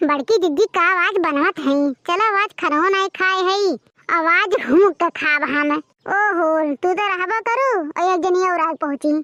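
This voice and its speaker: In a cartoonish character voice, a woman speaks at an extremely high pitch and a moderate pace. The sound is dry and close with no echo, and her loudness stays very even. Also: ordinary pitch variation. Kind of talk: cartoon comedy. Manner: wailing, exclamatory.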